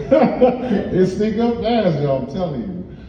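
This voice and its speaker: With an American accent, a man speaks using lively intonation. Room echo is audible, along with noticeable background noise. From Ohio, US Midwest. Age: 40s. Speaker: comedian. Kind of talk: stand-up. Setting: stage with audience, seated.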